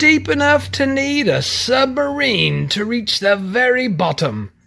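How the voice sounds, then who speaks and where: In a put-on character voice, the speaker talks at a fairly slow pace with a fairly high pitch. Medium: read story.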